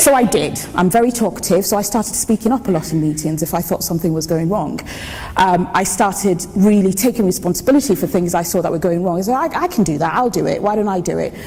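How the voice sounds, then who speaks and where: Over noticeable background noise, a woman speaks at a very fast pace. Her pitch variation is ordinary. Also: medium pitch for a woman. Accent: Yoruba. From Nigeria, Lagos (to age 16). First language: Yoruba. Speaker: engineer. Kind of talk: conference talk.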